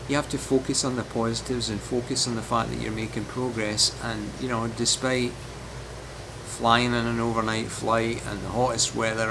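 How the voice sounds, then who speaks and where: A man with hardly any pauses, over noticeable background noise. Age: 60s. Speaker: amateur marathon runner. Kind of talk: casual talk to camera, training vlog.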